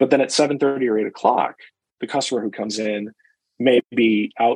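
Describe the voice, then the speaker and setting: The speaker uses a normal speaking voice at a fairly quick pace. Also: man. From US Midwest, Chicago. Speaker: restaurant association executive. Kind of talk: casual interview.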